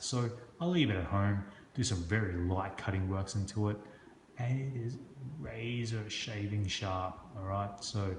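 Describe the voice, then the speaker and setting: The voice is heard at a moderate pace with ordinary pitch variation, audible room echo and noticeable background noise. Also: man. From Hong Kong. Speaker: construction business owner and knife reviewer. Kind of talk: product review video. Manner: casual, halting with frequent fillers.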